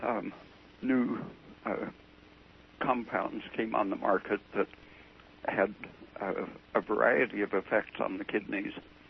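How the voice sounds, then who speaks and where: Long, frequent pauses break up this man's speech. He talks at a fairly slow pace. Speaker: biologist and nutrition researcher. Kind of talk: radio interview. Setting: phone call.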